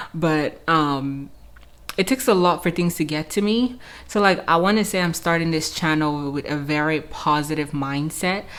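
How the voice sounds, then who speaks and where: Female speech, very deep and low in pitch, moderate in pace, its pitch varying in an ordinary way. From Cameroon. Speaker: YouTuber. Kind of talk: casual vlog, Q&A to camera. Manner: casual, filler-heavy.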